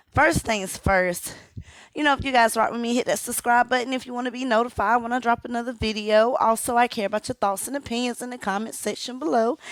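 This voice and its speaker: A woman's high voice, animated in tone, at a very fast pace. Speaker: commentary YouTuber. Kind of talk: casual vlog commentary.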